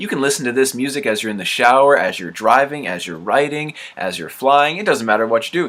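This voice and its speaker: A man's fairly high voice has a bright, sharp tone and vocal fry. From Canada. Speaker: podcast host. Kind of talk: casual interview chat.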